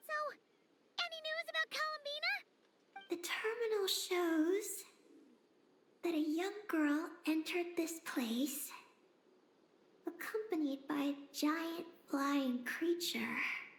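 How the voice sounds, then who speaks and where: An extremely high-pitched, put-on character voice speaks at a fairly slow pace. Long, frequent pauses break up the delivery. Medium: video game. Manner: lively, talkative, enthusiastic.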